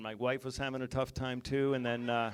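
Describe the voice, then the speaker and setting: A man with an American accent speaks at a medium pitch in a very clean recording with a silent background. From West Virginia. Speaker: stand-up comedian. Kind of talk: stand-up. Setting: stage with audience. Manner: fast.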